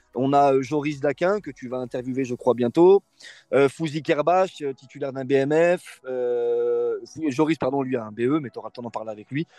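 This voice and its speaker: With an unremarkable speaking voice, a man talks at a moderate pace and medium pitch, his pitch varying in an ordinary way but his loudness swinging widely, in a dry, close sound with no echo. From France, Lyon area (Bron). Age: 20s. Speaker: youth football coach. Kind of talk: interview.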